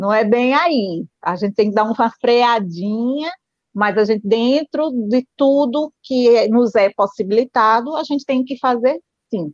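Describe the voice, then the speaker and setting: In a dry, close sound with no echo, a woman speaks with ordinary pitch variation. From Pernambuco, northeast Brazil. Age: 40s. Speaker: nurse and amateur runner. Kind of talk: interview.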